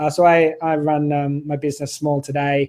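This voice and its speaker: Speaking in an Australian accent, a man has a fairly high pitch. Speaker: online business owner, summit host. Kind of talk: interview. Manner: halting, many fillers.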